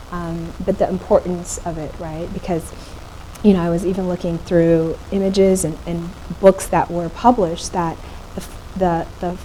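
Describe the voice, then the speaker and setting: A woman talks at a moderate pace in a fairly low pitch, her intonation flat and monotone. Her loudness swings widely, and background noise is noticeable. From Ethiopia, Addis Ababa. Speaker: photographer and artist. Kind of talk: panel conversation. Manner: halting.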